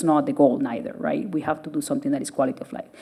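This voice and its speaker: Speaking at a very fast pace with very wide pitch swings, a woman with a Spanish accent is heard over noticeable background noise. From Venezuela. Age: 30s. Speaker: surgeon. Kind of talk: public lecture.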